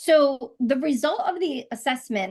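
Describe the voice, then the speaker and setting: Lively intonation rises and falls through very slow speech. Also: woman. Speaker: coaching instructor. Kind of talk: lecture.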